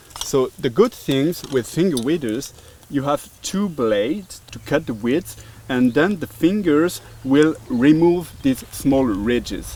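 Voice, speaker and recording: A man with a French accent speaks very slowly at a fairly high pitch with lively intonation, over noticeable background noise. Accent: nice French. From France. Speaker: tool maker representative. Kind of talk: casual tool demonstration. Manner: hesitant, many fillers.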